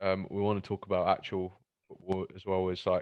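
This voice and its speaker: At a moderate pace, a man with a fairly low pitch speaks in a monotone, flat intonation. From East London. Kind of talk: casual podcast conversation about football.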